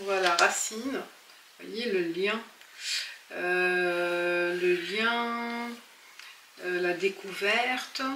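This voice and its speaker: A woman speaks very slowly at a medium pitch with fairly even intonation, leaving long, frequent pauses, with noticeable background noise and audible room echo. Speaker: tarot reader. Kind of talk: tarot reading. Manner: soft-spoken; halting.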